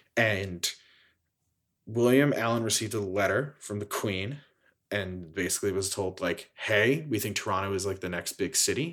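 With an American accent and a plain, everyday voice, a man speaks at a moderate pace and a fairly low pitch with ordinary pitch variation, in a very clean recording with a silent background. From Philadelphia. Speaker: playwright. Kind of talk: interview.

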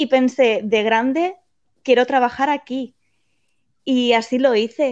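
Speaking with a Spanish accent, a woman talks very slowly at a high pitch with fairly even intonation. The background is quiet. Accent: Spanish (Spain). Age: 20s. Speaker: theme park employee. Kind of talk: interview.

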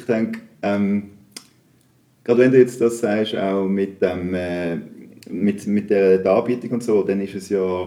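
Speaking at a very slow pace with long, frequent pauses, a man uses a fairly low pitch, a dark, mellow tone and fairly even intonation. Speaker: podcast host. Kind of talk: casual interview. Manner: halting, many fillers.

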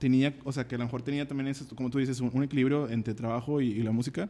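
The speaker is a man. His tone is dark and mellow. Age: 20s. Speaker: musician. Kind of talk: casual chat.

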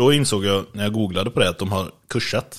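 The recording is very clean with a silent background, carrying an unremarkable speaking voice. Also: man. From western Sweden, Borås. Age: 30s. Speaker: podcast co-host. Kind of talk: casual chat. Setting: at co-host's home.

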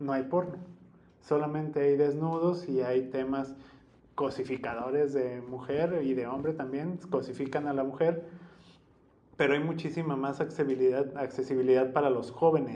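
A man with a plain, everyday voice speaks at a moderate pace, his fairly high pitch held in fairly even intonation. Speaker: podcast host. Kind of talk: casual chat.

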